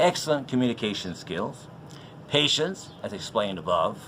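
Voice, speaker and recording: At a medium pitch and moderate pace, a man's voice moves through very wide pitch swings. Audible room echo fills the recording. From Canada. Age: 60s. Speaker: teacher. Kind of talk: job application video. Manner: formal.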